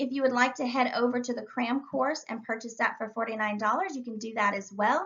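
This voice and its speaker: Over noticeable background noise, a woman with a high pitch talks at a fairly quick pace with ordinary pitch variation. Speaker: real estate exam instructor. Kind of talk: tutorial. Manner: fast; animated.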